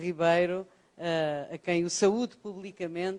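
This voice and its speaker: Speaking with a European Portuguese accent, a woman talks at a fairly low pitch with fairly even intonation. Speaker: professor. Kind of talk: lecture. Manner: hesitant fillers (ah, eh).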